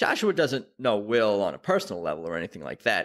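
On a very clean recording with a silent background, a man with an American accent speaks fairly quickly at a medium pitch. His voice shows vocal fry and very wide pitch swings. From New York. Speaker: podcast host. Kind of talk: casual interview. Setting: studio.

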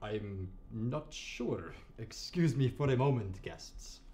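A man's very slow put-on character voice at a medium pitch. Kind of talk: comedy sketch. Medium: stage. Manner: theatrical, grandiose.

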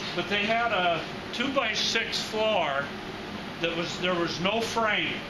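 Loud background noise runs under a man whose pitch varies in an ordinary way. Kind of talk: informal explanation in conversation. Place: workshop. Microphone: camera far.

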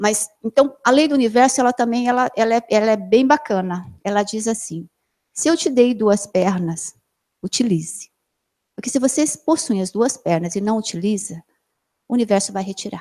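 The intonation is lively and the tone dark and mellow, delivered at a moderate pace. The background is quiet. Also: woman. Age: 40s. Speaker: plastic surgeon giving a health talk. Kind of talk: lecture. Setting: amphitheatre with live and online audience. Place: meeting room. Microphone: handheld.

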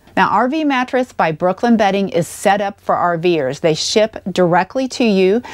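A woman speaks at a fairly slow pace. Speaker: RV travel vlogger. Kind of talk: sponsor read to camera. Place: home room. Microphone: lapel.

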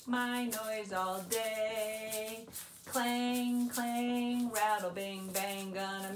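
The clip carries an unforced reading voice. That voice continues from start to end.

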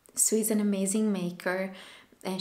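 A woman speaks at a fairly slow pace with monotone, flat intonation. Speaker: knitting podcaster. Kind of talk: casual vlog chat. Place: home room. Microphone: camera far.

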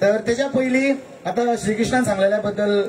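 A man is speaking. Noticeable background noise is present. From Goa, India. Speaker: event announcer. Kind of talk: rally compering. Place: stage. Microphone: pa.

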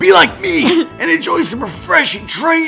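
At a moderate pace, a high, strained put-on character voice speaks over clear music in the background.

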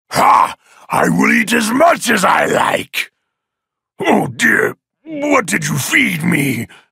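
Putting on a raspy character voice, a man talks very slowly with long, frequent pauses. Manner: commanding, gloating.

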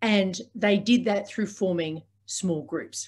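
With an Australian accent, the speaker sounds somewhat breathy and uses ordinary pitch variation. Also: woman. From Sydney, Australia. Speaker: organiser, podcast host. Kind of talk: lecture. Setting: video call. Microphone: video call.

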